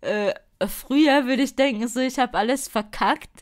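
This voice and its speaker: This is a woman speaking. Her voice sits at a high pitch. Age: 20s. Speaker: spirituality podcaster. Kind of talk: solo podcast monologue. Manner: casual with many fillers.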